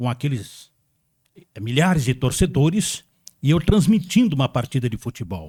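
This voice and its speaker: On a very clean recording with a silent background and a dry, close sound without echo, a man with a fairly high pitch swings very widely in pitch and uses vocal fry. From Brazil, São Paulo state interior. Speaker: radio broadcaster. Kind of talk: interview.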